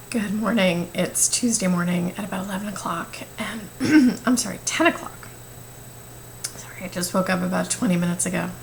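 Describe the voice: A woman does a put-on character voice, raspy and hoarse at a medium pitch. She talks at a fairly quick pace over clear background noise.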